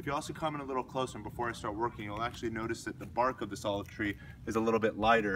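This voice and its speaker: A man at a very fast pace, ordinary pitch variation, noticeable background noise. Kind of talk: tutorial. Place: garden. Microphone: camera far.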